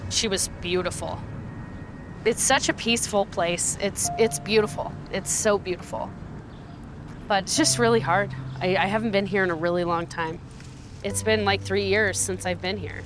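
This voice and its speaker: The pitch swings very widely, delivered at a moderate pace with long, frequent pauses. Noticeable noise sits in the background. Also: woman, fairly low pitch for a woman. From Colorado, US. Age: 30s. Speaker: podcast host, shooting survivor. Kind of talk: personal testimony.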